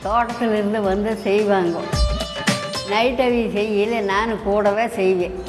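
Over clear background music, a woman talks in a flat monotone at a medium pitch. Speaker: yoga teacher. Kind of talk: interview answer. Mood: calm, reminiscing. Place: home room.

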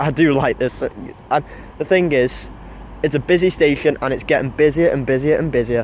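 Over light background noise, a man speaks at a moderate pace with ordinary pitch variation, the sound dry with no echo. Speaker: trainspotting vlogger. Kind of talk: casual vlog commentary. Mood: enthusiastic. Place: station.

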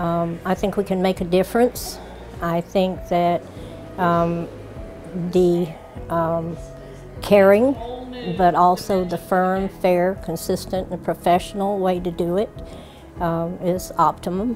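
With clear music in the background, a woman speaks at a fairly slow pace in a fairly low, monotone, flat voice, with long, frequent pauses. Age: 80s+. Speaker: prison supply coordinator. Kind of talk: interview answer. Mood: sincere, warm conviction. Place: shop. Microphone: lapel.

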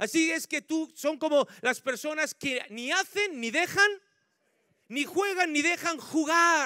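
A man speaks in a raised, projected voice at an extremely high pitch with a bright, sharp tone. He goes at a very slow pace with ordinary pitch variation, and the sound is dry and close with no echo. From Spain, La Mancha (Ciudad Real). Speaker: pastor. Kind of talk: sermon. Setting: church.

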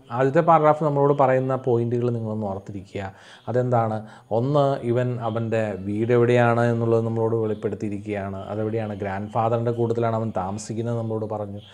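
The speaker is a man with an ordinary speaking voice at a medium pitch. His intonation stays fairly even. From Kerala, India. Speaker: English tutor for school students; teacher. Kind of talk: lecture. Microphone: webcam.

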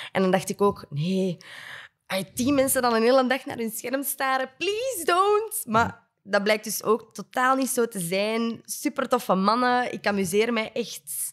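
Against a quiet background, a woman with a Flemish accent speaks at a fairly slow pace. Her pitch is fairly high. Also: lively intonation. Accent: Flemish Dutch. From Flanders, Belgium. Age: 20s. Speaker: podcast co-host. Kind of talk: casual interview. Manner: enthusiastic. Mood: cheerful, animated. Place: studio. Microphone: studio mic.

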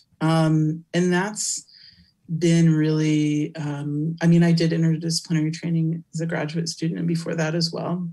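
A woman with an American accent speaks at a moderate pace in a fairly low, dark, mellow voice that is somewhat breathy. Her intonation is monotone and flat, and the background is quiet. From California. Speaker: academic researcher and keynote speaker; keynote speaker. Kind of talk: Q&A interview after keynote lecture. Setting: virtual conference. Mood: thoughtful, earnest. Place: home room. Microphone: webcam.

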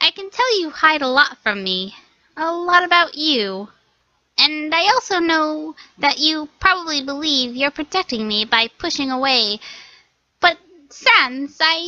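A loud, high put-on character voice is heard. It moves at a fairly slow pace. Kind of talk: comic overacting. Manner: loud, excitable, boastful.

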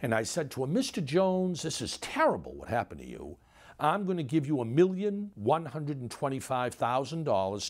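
Against a quiet background, a man talks at a moderate pace with very wide pitch swings. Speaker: interview guest. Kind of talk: interview answer. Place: home room.

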